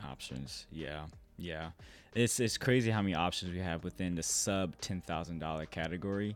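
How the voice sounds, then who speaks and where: The man's pitch is very deep and low, with ordinary variation. He speaks at a moderate pace. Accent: American. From US. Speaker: filmmaker. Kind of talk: casual interview chat.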